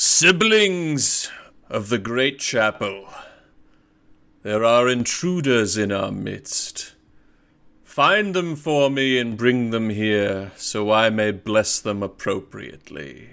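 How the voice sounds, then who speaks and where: Booming and medium in pitch, a man speaks in a put-on character voice. He goes at a very slow pace with lively intonation. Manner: commanding, ominous.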